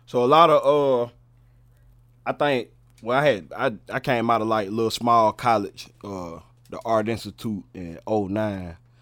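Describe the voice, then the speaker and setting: A man with a North Carolina accent at medium pitch, fairly slow, with long, frequent pauses, ordinary pitch variation and big swings in loudness, on a very clean recording with a silent background. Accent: US Southern (North Carolina). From Charlotte, North Carolina (West Side). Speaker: rapper and producer. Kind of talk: casual chat.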